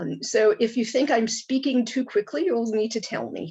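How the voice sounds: A woman with an American accent speaks at a moderate pace, her fairly high voice dark and mellow with a slightly husky edge and vocal fry. Her intonation is lively.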